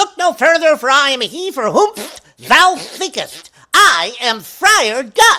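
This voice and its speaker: This is a put-on character voice, high in pitch. It moves at a fairly slow pace. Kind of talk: archaic, theatrical. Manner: comic, acted.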